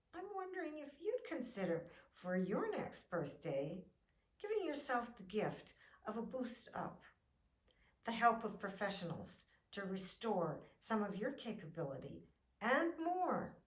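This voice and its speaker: With audible room echo, a woman speaks at a fairly slow pace in a fairly high voice whose pitch swings very widely. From Canada. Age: 70s. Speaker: fitness vlogger. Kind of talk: encouraging video talk.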